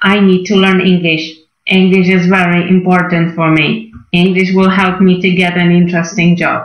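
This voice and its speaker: A woman performs a put-on, robotic character voice at medium pitch and a moderate pace. Her loudness stays very even, with slight echo. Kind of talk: simple repetitive sentences. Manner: robotic, monotone, choppy.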